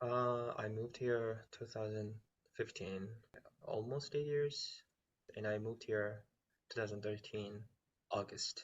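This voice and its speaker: His intonation stays fairly even, and his voice is somewhat breathy. The man talks at a fairly slow pace with long, frequent pauses. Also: medium pitch for a man. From South Korea. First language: Korean. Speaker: musical theater performer. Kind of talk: casual chat. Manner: halting.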